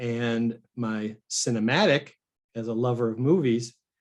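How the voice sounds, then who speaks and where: Speaking at a fairly slow pace, a man has an ordinary speaking voice of medium pitch. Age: 60s. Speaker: musician. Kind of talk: casual chat.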